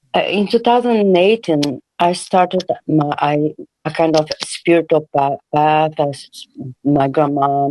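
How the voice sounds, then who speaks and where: The speaker has a Portuguese accent. The pace is fairly slow. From Brazil, Rio de Janeiro. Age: 60s. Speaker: caller. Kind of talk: personal testimony on a call-in show. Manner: halting, many fillers.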